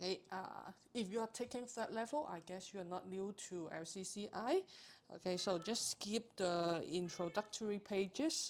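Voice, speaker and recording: A woman speaks at a moderate pace with a non-native accent. Her pitch sits in the medium range, with ordinary variation. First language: not English. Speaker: accounting tutor. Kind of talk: tutorial. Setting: live stream. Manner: hesitant, frequent fillers.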